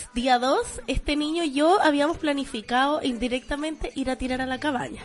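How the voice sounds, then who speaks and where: With a Chilean accent, a woman speaks at a moderate pace and high pitch in an animated tone, her pitch varying in an ordinary way over noticeable background noise. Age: 20s. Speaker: radio show co-host. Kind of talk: casual chat. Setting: radio studio.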